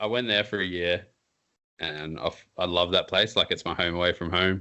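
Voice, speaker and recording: With an Australian accent, a man speaks at a moderate pace in a very deep, low voice with fairly even intonation. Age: 30s. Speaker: podcast host and bike industry writer. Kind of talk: casual chat. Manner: casual, relaxed with slang.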